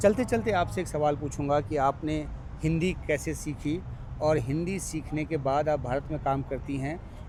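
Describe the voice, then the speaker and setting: The man's voice is fairly high and somewhat breathy, with ordinary pitch variation. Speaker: journalist. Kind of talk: interview; reporting to camera.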